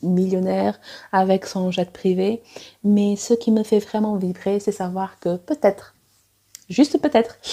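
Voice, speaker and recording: Very slow female voice with a non-native accent, medium pitch, ordinary pitch variation and a dark, mellow tone. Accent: non-native French, self-described. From Angola, also Cuba, Portugal, South Africa. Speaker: romance author and editor. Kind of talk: personal vlog monologue. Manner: hesitant, many fillers.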